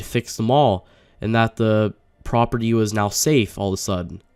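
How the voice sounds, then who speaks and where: Dark, mellow tone and fairly even intonation on a very clean recording with a silent background. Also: man. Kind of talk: casual talk to camera. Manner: hesitant, stuttering, many filler words.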